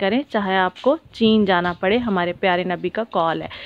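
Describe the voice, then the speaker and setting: An unremarkable speaking voice, fairly slow, with fairly even intonation and a dry sound with no echo. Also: woman. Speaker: travel vlogger. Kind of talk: vlog narration. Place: car. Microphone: phone near.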